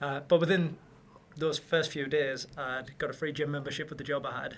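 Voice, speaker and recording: A man with a Newcastle accent, fairly high in pitch, monotone and flat in intonation, at a fairly quick pace. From northern England, Newcastle. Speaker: property developer. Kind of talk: casual interview chat.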